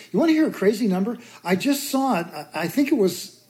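A woman's voice is dark and mellow, somewhat breathy. Her pitch swings very widely. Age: 60s. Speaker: author and mountaineer. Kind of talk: casual interview chat.

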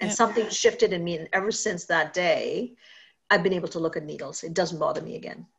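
This voice talks at a very fast pace with big swings in loudness. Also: woman. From Caribbean. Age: 50s. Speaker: podcast host and psychotherapist. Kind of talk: interview.

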